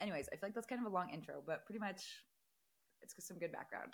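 A woman's somewhat breathy, animated voice at a medium pitch, with ordinary pitch variation. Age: 20s. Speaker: podcast host. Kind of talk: casual chat.

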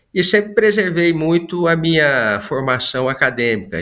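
A man speaks in a normal speaking voice at a fairly slow pace with lively intonation. The recording is very clean, with a silent background. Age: 50s. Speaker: business executive. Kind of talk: interview.

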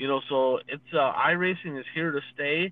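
An unremarkable speaking voice from a man with an American accent, fairly high in pitch, at a moderate pace with ordinary pitch variation. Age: 40s. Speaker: dirt racing podcast co-host, former racer. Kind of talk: casual chat.

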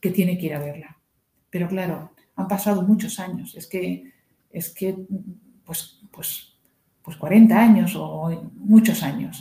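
A woman speaks at a very slow pace in a medium pitch, her somewhat breathy voice carrying a dark, mellow tone. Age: 60s. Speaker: guest, host's mother. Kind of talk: casual chat about a book.

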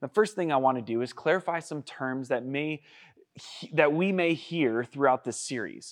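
An ordinary speaking voice moves at a moderate pace with ordinary pitch variation against a quiet background. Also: man. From Washington state, US. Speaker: youth pastor. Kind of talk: sermon.

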